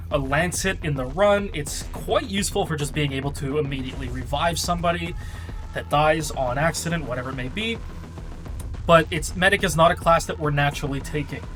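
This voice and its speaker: With music in the background, a man talks at a fairly quick pace in a fairly high voice with ordinary pitch variation. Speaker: gaming content creator. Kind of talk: game guide commentary. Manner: unenthusiastic.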